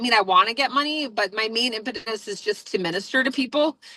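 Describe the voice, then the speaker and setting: The voice is loud, with a bright, sharp tone and ordinary pitch variation. The sound is dry and close, with no echo. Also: woman. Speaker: reverend and online business coach. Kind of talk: casual group discussion. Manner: loud, projecting; fast, full of fillers.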